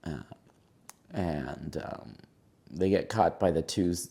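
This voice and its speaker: Vocal fry and a dark, mellow tone at a very slow pace, with ordinary pitch variation. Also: man. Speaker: horror movie reviewer. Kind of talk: spoken movie review. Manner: halting, many fillers.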